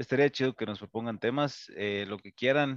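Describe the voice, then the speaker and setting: A man speaks with a Mexican accent. The background is quiet. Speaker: podcast co-host. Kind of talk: casual chat.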